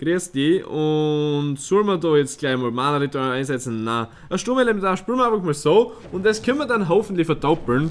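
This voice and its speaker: A man speaks with a Styrian accent. His pitch swings very widely at a moderate pace. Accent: Styrian Austrian dialect. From Styria, Austria. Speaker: let's player. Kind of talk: live gameplay commentary. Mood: relaxed, playful.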